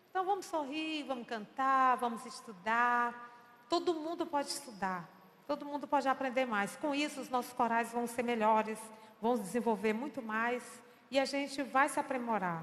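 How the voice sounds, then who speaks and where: Speaking in a high pitch, a woman keeps a moderate pace with ordinary pitch variation. Audible room echo is present. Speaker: choir director giving a church talk. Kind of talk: lecture.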